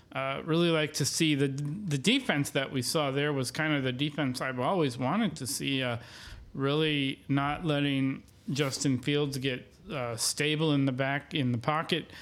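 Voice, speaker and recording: Speaking with an American accent and an unremarkable speaking voice, a man talks at a fairly high pitch and a moderate pace with fairly even intonation. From Wisconsin, US Midwest. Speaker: sports podcast co-host. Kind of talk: casual chat.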